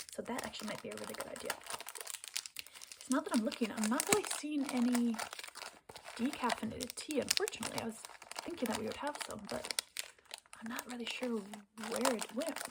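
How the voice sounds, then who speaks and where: A high-pitched woman with lively intonation and long, frequent pauses, over noticeable background noise. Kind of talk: ASMR coffee shop roleplay as a barista. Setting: close-mic ASMR recording. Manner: soft-spoken, hushed, friendly.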